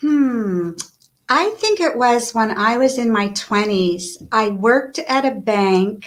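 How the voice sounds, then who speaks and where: At a very slow pace and very even loudness, a woman talks with a fairly high pitch. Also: ordinary pitch variation. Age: 60s. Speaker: author and life coach. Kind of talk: interview.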